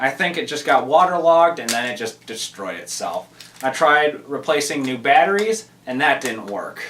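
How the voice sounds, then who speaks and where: A man with a fairly high pitch keeps a moderate pace while noticeable background noise continues. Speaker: camera reviewer. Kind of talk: casual vlog.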